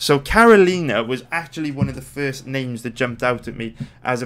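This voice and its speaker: Medium-pitched male voice with a Welsh accent, on a very clean recording with a silent background. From Wales. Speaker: sports betting analyst. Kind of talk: casual video commentary. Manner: casual, energetic.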